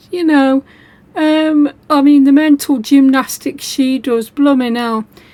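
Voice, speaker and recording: Her voice is high-pitched, with a dark, mellow tone and ordinary pitch variation. The woman speaks at a very slow pace. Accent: British. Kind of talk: commentary vlog.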